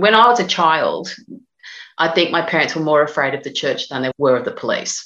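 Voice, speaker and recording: The speaker is a woman with a fairly low pitch. She talks at a fairly quick pace. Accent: Australian. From Australia, northern Sydney. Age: 50s. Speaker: novelist. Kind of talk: interview.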